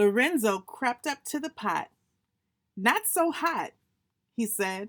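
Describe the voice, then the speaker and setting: A woman's fairly high voice at a fairly slow pace, in a very clean recording with a silent background. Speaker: storyteller. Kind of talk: children's story reading.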